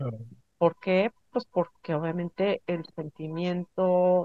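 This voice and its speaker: A woman's voice with ordinary pitch variation. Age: 50s. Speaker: spiritual healer. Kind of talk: interview.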